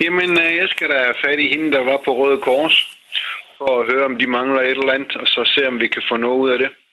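Over noticeable background noise, the voice moves at a fairly quick pace with fairly even intonation and very even loudness. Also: man, medium pitch for a man. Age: 60s. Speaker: retired mechanic, listener panel member. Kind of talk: radio panel discussion.

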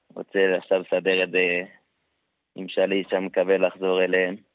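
A man with a very deep, low pitch. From Samaria, West Bank. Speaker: wounded soldier. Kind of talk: testimony.

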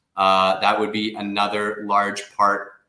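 In a room with audible echo, a man with a Canadian accent talks at a fairly slow pace, his fairly low voice bright and sharp in tone. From Canada. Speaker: investment migration firm director. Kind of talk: radio interview.

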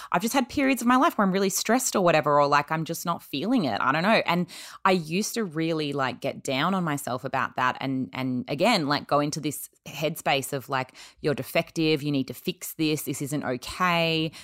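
A woman with an Australian accent speaks in a very deep, low voice with lively intonation, on a very clean recording with a silent background. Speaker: podcast host. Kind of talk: casual chat.

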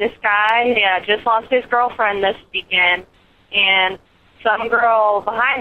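A woman in a Southern US accent, with ordinary pitch variation. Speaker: caller (voicemail). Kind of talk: casual anecdote.

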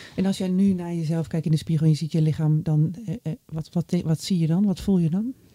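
Her fairly low-pitched, somewhat breathy voice moves at a fairly quick pace with hardly any pauses and ordinary pitch variation, recorded with a dry, close sound and no echo. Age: 40s. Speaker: podcast host. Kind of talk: interview; reflective monologue.

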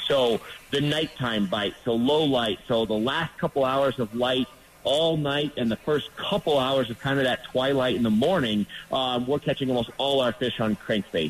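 The pitch varies in an ordinary way and the loudness stays very even. The pace is moderate, and background noise is noticeable. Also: man. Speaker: fishing contributor. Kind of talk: casual radio chat. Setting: phone call.

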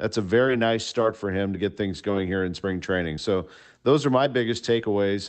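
Fairly low in pitch with ordinary pitch variation, a man talks at a fairly quick pace in a plain, everyday voice. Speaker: sports broadcaster analyst. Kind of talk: sports commentary.

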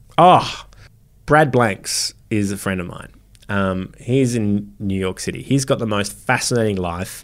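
In a very clean recording with a silent background, a man with an Australian accent talks fairly slowly at a fairly low pitch, with ordinary pitch variation. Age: 40s. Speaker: comedian. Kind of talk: casual chat. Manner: animated.

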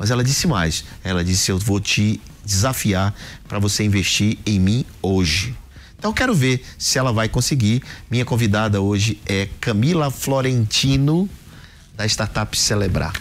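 A man with a plain, everyday voice speaks at a moderate pace in a fairly low pitch, his loudness very even and his pitch varying in an ordinary way. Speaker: podcast host and angel investor. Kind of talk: business interview.

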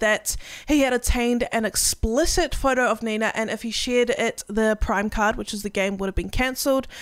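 With a New Zealand accent, a woman speaks at a moderate pace and high pitch, with ordinary pitch variation and hardly any pauses. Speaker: streamer and podcast co-host. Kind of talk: casual chat.

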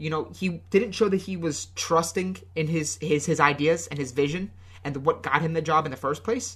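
A man's speech moves at a moderate pace, with only a quiet background behind it. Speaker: football podcast co-host. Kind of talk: casual chat. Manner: hesitant, many fillers and repetitions.

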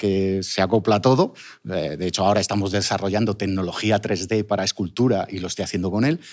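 A man with an unremarkable speaking voice talks at a fairly quick pace with hardly any pauses. His pitch is fairly low, his intonation fairly even, and the recording very clean with a silent background. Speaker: sculptor and online business owner. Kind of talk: interview.

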